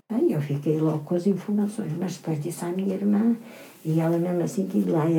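A woman speaks in a dark, mellow tone. Her voice is somewhat breathy, with ordinary pitch variation. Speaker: retired seamstress. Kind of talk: casual chat.

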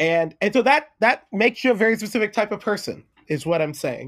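With big pitch swings and a fairly bright tone, the speaker moves at a fairly quick pace. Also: man, high pitch for a man.

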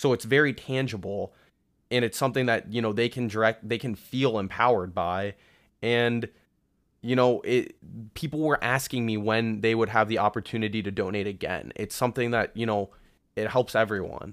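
A man with an American accent talks at medium pitch with fairly even intonation on a very clean recording with a silent background. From Columbus, Ohio. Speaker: medical student. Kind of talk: casual interview. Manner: slow.

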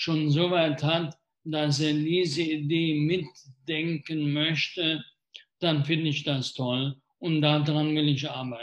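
A man speaks at a very slow pace with a fairly high pitch. His intonation is monotone and flat. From Germany, Rhineland (Wesseling near Cologne). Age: 60s. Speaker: mayor. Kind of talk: live talk interview. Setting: live video stream.

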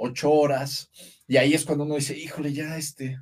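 A man speaks at a moderate pace in a fairly high, somewhat breathy voice with flat, monotone intonation. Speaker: actor. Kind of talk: casual interview.

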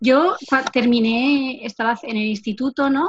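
A woman speaks at a high pitch. The sound is dry and close with no echo. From Navarre, Spain (Lesaka, Basque-speaking area). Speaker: occupational therapy student. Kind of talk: casual interview.

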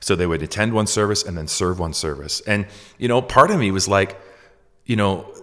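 Here is a man with an unremarkable speaking voice and fairly low pitch. He talks at a fairly quick pace with lively intonation. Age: 40s. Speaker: podcast guest, parent and church pastor. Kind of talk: casual interview chat. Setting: home microphone, remote recording.

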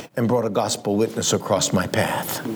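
At a moderate pace, a man with an American accent speaks at a medium pitch over noticeable background noise. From Romani family in the US. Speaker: missionary preacher. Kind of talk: sermon. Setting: church.

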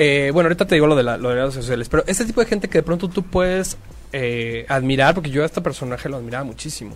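Speech comes at a very fast pace with lively intonation. Noticeable background noise runs underneath. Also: man, fairly high pitch for a man. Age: 30s. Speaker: artist. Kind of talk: casual chat.

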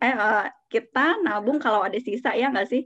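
A woman with a plain, everyday voice talks at a moderate pace. Her intonation is lively. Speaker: financial advisor. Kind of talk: casual interview chat about personal finance.

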